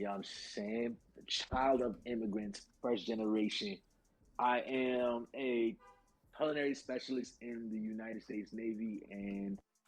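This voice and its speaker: A man speaks with a New York accent and fairly even intonation. Music plays in the background. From New York City, Brooklyn. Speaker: pro wrestler and navy cook. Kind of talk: casual chat. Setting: live stream.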